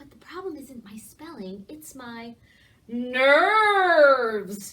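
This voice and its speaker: A woman's loud, put-on character voice, high-pitched, with very wide pitch swings and a very slow pace. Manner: nervous, loud.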